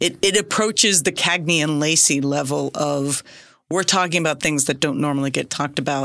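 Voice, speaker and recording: A woman with an American accent and a very deep, low pitch, fairly quick pace and ordinary pitch variation, in a very clean recording with a silent background. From US South (Decatur, Georgia). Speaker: podcast host. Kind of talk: casual chat.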